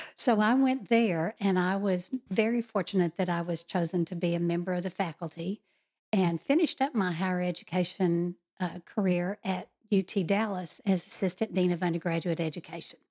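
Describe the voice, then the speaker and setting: Using an unremarkable speaking voice, a woman with an American accent talks at a moderate pace and medium pitch with ordinary pitch variation, on a very clean recording with a silent background and a dry, close sound with no echo. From Texas. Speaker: political candidate. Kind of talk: interview.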